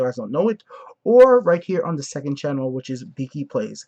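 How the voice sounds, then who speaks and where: A man with an American accent speaks, his pitch swinging very widely. The sound is dry and close, with no echo. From outside the US. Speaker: gaming YouTuber. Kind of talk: casual chat. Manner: halting.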